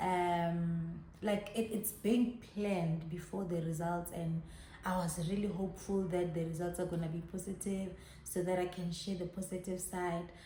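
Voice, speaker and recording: A woman speaks at a moderate pace with a medium pitch and flat, monotone intonation, with audible room echo and noticeable background noise. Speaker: YouTuber. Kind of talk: personal vlog testimony. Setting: in her salon by a main road.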